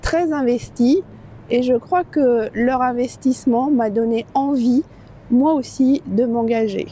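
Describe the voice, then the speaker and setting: Speaking at a very slow pace, a woman keeps her high voice at very even loudness with fairly even intonation. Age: 60s. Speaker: local election candidate. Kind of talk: campaign video statement. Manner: hesitant with fillers.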